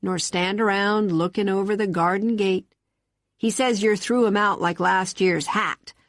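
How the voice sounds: Fairly even intonation marks a natural reading voice. Behind it, the background stays quiet.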